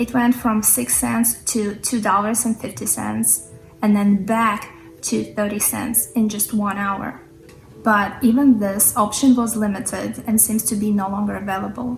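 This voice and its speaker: Music plays in the background. A woman speaks at a fairly slow pace with fairly even intonation. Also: medium pitch for a woman. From third world country. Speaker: crypto trader. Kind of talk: casual talk to camera.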